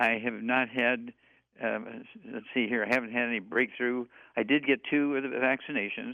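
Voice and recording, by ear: At a moderate pace, a man speaks with vocal fry at a medium pitch, his intonation fairly even.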